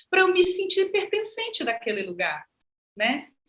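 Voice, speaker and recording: Very wide pitch swings mark the raised, projected voice of a woman, whose tone is bright and sharp. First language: Ze'eng eté (Guajajara) (speaking Portuguese). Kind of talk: panel conversation.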